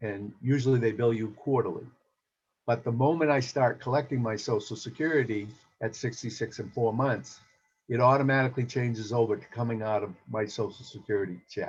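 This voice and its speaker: A somewhat breathy man's voice at medium pitch, fairly quick, with fairly even intonation. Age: 60s. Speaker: insurance agent. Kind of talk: presentation.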